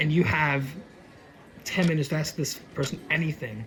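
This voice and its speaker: At a fairly slow pace, a man speaks with a fairly high pitch amid audible room echo. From Norway. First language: Norwegian. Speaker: aspiring voice actor telling a personal story. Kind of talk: interview, personal storytelling. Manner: halting, many restarts and fillers.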